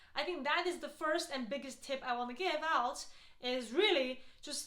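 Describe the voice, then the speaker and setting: Raised and projected, a woman's high-pitched voice carries a non-native accent, a bright, sharp tone and lively intonation, with audible room echo. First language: not English. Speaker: healthcare strategy consultant and YouTuber. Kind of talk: advice talk to camera. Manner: casual, frequent fillers.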